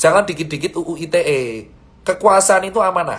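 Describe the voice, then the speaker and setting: Putting on a character voice, a man sounds hoarse and uses ordinary pitch variation. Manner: slow, careful pace.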